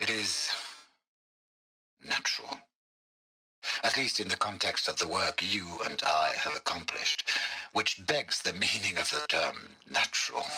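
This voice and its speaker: A man doing a put-on character voice. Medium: video game. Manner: wry, sardonic.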